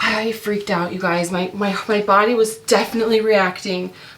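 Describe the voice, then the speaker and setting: A woman in a normal speaking voice, medium pitch, ordinary pitch variation, moderate pace. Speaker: mom vlogger and online reseller. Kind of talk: casual chat while working. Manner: chatty, many fillers.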